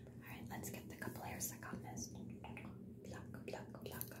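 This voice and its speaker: A woman whispers at a very slow pace. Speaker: ASMR creator playing beautician. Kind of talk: ASMR personal attention roleplay. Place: home room.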